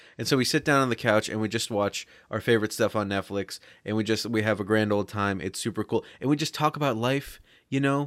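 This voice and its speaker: The man's pitch sits fairly low, and he speaks at a fairly quick pace in an ordinary speaking voice. The very clean recording has a silent background and a dry, close sound with no echo. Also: ordinary pitch variation. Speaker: podcast co-host. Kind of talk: casual comedic chat.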